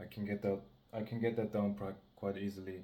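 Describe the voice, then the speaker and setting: This voice has a dark, mellow tone and a monotone, flat intonation. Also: man. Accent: non-native. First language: not English. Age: 20s. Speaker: amateur bodybuilder vlogger. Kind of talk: casual vlog talk to camera. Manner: halting, many self-corrections.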